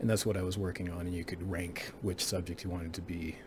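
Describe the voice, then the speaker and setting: In a Texan accent, a man speaks at a very fast pace with a very deep, low pitch and monotone, flat intonation, with audible room echo. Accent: Texan American English. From South Texas, near the Mexican border. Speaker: college history professor. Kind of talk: course introduction lecture. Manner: hesitant, many filler words.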